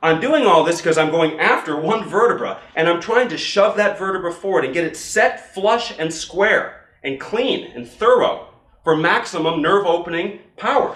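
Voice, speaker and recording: A man talks at a high pitch with lively intonation. Noticeable background noise and audible room echo fill the recording. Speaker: chiropractor teaching other chiropractors. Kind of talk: instructional demonstration. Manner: fast; animated.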